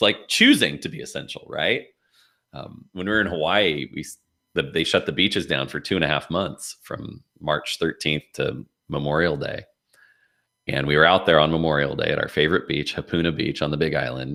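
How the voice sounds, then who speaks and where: Set against a silent background in a very clean recording, the voice has a bright, sharp tone with vocal fry, fairly even intonation and a fairly quick pace. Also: man, very deep, low pitch for a man. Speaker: business coach and consultant. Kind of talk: livestream interview. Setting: livestream on LinkedIn. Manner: casual, with frequent fillers.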